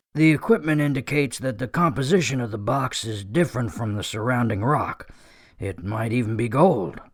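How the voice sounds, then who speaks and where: A man uses a put-on character voice, raspy and medium in pitch, with lively intonation at a fairly quick pace, on a very clean recording with a silent background. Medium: audio drama. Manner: brisk, businesslike.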